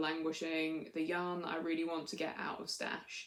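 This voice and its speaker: With a British accent, the speaker talks at a moderate pace over noticeable background noise. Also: woman. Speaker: knitting podcaster. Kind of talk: casual chat.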